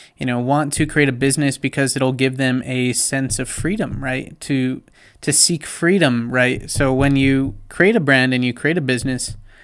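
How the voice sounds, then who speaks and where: In a very clean recording with a silent background, a man with a normal speaking voice talks at a moderate pace and medium pitch with fairly even intonation. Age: 20s. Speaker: business vlogger. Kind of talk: tutorial. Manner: casual, with many fillers.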